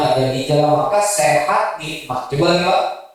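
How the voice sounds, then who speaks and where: A man with a fairly high pitch talks at a moderate pace, and audible room echo hangs around his voice. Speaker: Islamic preacher. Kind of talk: sermon. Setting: mosque with audience.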